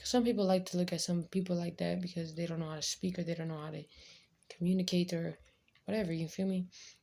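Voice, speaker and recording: A woman speaks at a very fast pace in a fairly low, somewhat breathy voice with a dark, mellow tone and monotone, flat intonation. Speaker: vlogger. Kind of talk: casual chat.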